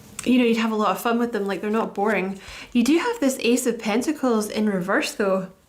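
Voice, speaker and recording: Through noticeable background noise and audible room echo, a woman speaks at a fairly quick pace in a fairly high pitch with ordinary pitch variation. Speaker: tarot reader. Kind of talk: tarot reading. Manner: casual, halting with fillers.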